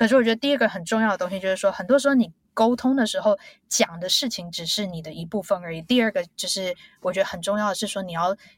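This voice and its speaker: A somewhat breathy woman's voice, very fast, with big swings in loudness. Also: medium pitch for a woman, ordinary pitch variation. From Taiwan, Taipei. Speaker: biotech executive. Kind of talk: interview.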